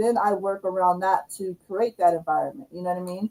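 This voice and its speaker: At a fairly quick pace, a woman speaks in a dark, mellow tone. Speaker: livestream host, YouTube coach. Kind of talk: casual livestream chat. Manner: loud.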